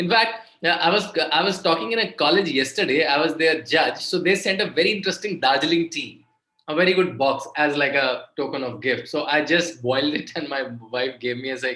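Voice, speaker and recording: A man with an Indian accent speaks at a fairly quick pace in a bright, sharp tone and a fairly high pitch, with audible room echo. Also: ordinary pitch variation. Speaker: author and guest lecturer. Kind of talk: lecture to students. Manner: repetitive, stop-start phrasing.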